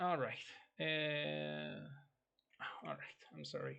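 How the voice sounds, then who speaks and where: With a non-native accent, a man speaks at a very slow pace. His pitch swings very widely. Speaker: video game modder. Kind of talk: tutorial. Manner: halting, with fillers.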